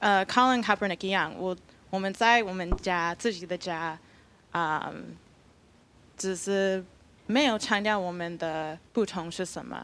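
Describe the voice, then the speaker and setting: On a very clean recording with a silent background, a woman speaks at a medium pitch with ordinary pitch variation, long, frequent pauses and big swings in loudness. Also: fairly slow pace. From Texas, US. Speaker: panel guest. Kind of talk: panel discussion. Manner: halting.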